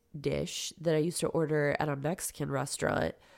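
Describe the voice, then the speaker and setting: A woman with a very deep, low pitch speaks with vocal fry. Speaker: podcast co-host. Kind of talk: casual chat. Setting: at home.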